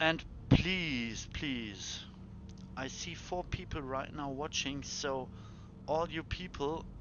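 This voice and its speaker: In a German accent, a man with a fairly high pitch speaks very slowly with ordinary pitch variation and long, frequent pauses. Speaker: video game streamer. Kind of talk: live gameplay stream commentary. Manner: halting.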